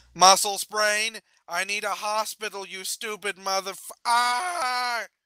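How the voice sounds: A man's put-on character voice, high-pitched and slow, with a clear, smooth yet bright, sharp tone and a dry, close sound with no echo. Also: ordinary pitch variation.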